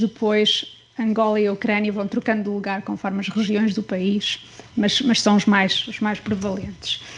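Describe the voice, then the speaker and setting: A woman speaks at a fairly slow pace with a fairly high pitch. Noticeable background noise runs behind her. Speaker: academic researcher. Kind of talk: research presentation. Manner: soft-spoken; halting, many fillers. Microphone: too quiet, too far from the mic.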